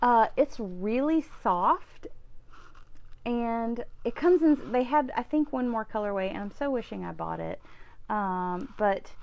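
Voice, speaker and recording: The speaker is a woman. She talks with an Alabama accent. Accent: Southern US (Alabama). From US South, central Alabama. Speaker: knitting vlogger. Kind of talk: casual video chat. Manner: chatty, many fillers.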